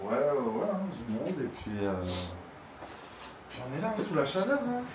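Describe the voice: With very wide pitch swings and a fairly high pitch, a man speaks at a moderate pace. His tone is slightly mellow, and room echo can be heard.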